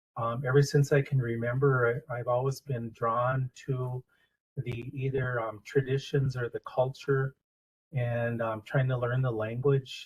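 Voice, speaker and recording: A man with an American accent talks at a fairly slow pace in a medium-pitched voice. It is somewhat breathy, with monotone, flat intonation. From US Upper Midwest, Red Cliff reservation, northern Wisconsin. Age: 60s. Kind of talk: community talk, storytelling. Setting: library event with audience. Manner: halting, many filler words.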